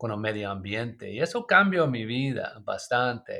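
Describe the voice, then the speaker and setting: A man with an English accent speaks at a fairly slow pace in a medium pitch. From US, Maryland. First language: English (speaking Spanish). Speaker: permaculture designer and author. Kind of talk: interview. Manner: halting, with fillers.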